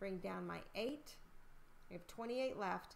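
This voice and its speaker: Echo from the room can be heard as this woman talks at a medium tempo. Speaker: elementary school teacher. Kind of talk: tutorial.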